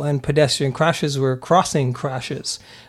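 An unremarkable speaking voice from a man with an American accent, fairly high in pitch, fairly quick and fairly even in intonation, in a very clean recording with a silent background. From Germany (US military family), Pennsylvania. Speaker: police detective. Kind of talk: interview. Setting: studio.

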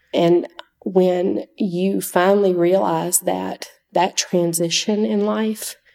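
This woman has a Southern US accent and a fairly low pitch. Her tone is dark and mellow, with lively intonation. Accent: Southern US (Georgia). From US South, Georgia (Oconee County). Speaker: nurse. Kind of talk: testimony.

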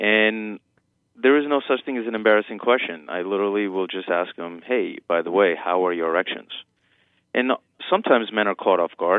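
A fairly low-pitched man at a fairly quick pace, with ordinary pitch variation. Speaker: urologist. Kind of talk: medical interview. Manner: explanatory, hesitant with fillers.

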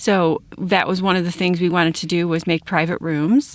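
A woman has an ordinary speaking voice with an American accent. Her pitch sits fairly low. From Wilmington, Illinois. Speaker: emergency department director, nurse. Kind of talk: interview.

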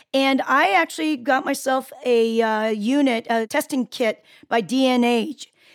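A woman's high voice, ordinary in its pitch variation and very even in loudness, dry and close with no echo, on a very clean recording with a silent background. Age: 50s. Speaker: radio talk show host and chiropractor. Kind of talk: radio interview. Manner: halting, many fillers.

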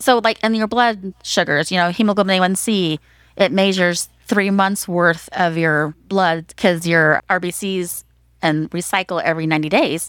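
In an ordinary speaking voice, a woman talks at a moderate pace with ordinary pitch variation on a very clean recording with a silent background. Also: medium pitch for a woman. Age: 50s. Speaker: nurse practitioner. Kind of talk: interview.

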